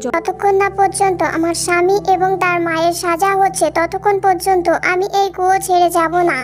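A cartoonish character voice, female-sounding, at an extremely high pitch and a moderate pace, with clear background noise. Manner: grim, resentful.

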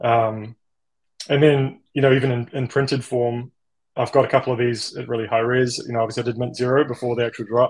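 A man with a New Zealand accent at a fairly quick pace, in a monotone, flat intonation, against a quiet background. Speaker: generative artist; guest. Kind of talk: interview. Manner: halting, with many fillers. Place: home room. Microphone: video call.

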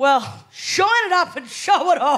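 A woman with an Australian accent and very wide pitch swings. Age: 20s. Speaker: stand-up comedian. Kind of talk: stand-up. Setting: stage with audience. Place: stage.

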